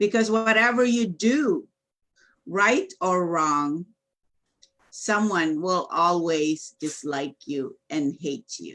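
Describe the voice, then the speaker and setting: Loud and very slow, a woman speaks at a medium pitch. Her pitch swings very widely. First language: Filipino. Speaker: business coach. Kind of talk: casual chat.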